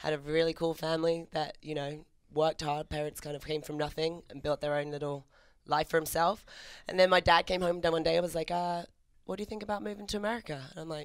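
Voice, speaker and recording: At a very fast pace, a woman with a British accent speaks in a very deep, low pitch with ordinary pitch variation, in a very clean recording with a silent background. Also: big swings in loudness. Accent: British, still noticeable. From England, Maidenhead near London. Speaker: fitness entrepreneur. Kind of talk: casual chat. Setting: studio.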